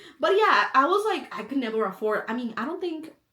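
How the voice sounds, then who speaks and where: A woman with a slight Spanish accent, high-pitched and animated, at a fairly quick pace. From El Salvador. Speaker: content creator. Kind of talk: casual chat.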